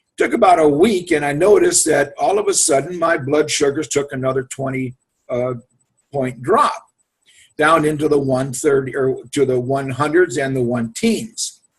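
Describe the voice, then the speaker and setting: With ordinary pitch variation, a man's somewhat breathy voice comes through. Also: fairly high pitch for a man, moderate pace. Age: 70s. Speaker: Marine Corps veteran giving a product testimonial. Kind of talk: testimony. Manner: casual, halting.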